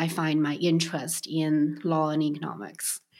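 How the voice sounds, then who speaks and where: In a very clean recording with a silent background, a woman with a Chinese accent speaks at a fairly slow pace and fairly low pitch. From Beijing, China. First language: Mandarin Chinese. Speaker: restaurant co-founder. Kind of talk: interview. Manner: hesitant, with frequent fillers.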